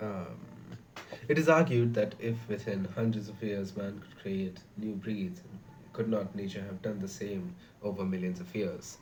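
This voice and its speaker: Soft-spoken and somewhat breathy, a man with a fairly low pitch speaks with big swings in loudness and audible room echo. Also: ordinary pitch variation, fairly slow pace. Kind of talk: reading aloud. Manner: halting.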